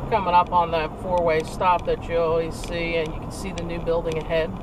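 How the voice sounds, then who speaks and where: The speech moves at a moderate pace with a dry sound and no echo, though there is noticeable background noise. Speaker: channel host. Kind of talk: casual vlog commentary. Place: car.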